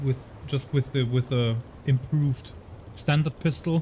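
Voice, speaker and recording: Speaking with a German accent, a man at medium pitch keeps a moderate pace, sounding somewhat breathy with fairly even intonation. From Germany. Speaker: gaming streamer, ex-navy officer. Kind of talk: live gameplay commentary. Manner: halting, many repeated words.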